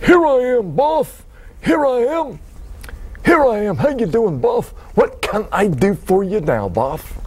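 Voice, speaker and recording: A man performs a put-on character voice at an extremely high pitch and a fairly slow pace. Light background noise can be heard. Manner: overexcited, silly, repetitive.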